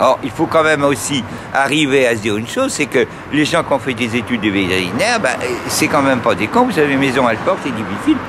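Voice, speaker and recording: A man with lively intonation talks at a very fast pace over noticeable background noise. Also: medium pitch for a man. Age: 70s. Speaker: local resident interviewed in the street. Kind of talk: street interview. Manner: halting.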